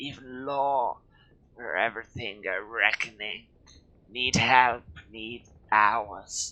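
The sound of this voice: A man's put-on character voice, wheezy and medium in pitch, at a very slow pace with fairly even intonation and long, frequent pauses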